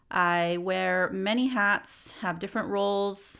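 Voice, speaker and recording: A woman with an American accent speaks at a medium pitch with fairly even intonation, recorded very cleanly against a silent background. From US West, Los Angeles area. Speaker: podcast host and psychologist. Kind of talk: solo podcast monologue. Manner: casual, conversational with fillers.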